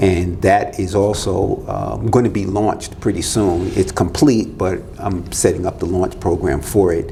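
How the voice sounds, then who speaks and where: An American accent with fairly even intonation at a moderate pace, amid audible room echo and noticeable background noise. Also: man. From Florida. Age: 60s. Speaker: business consultant. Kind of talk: podcast interview.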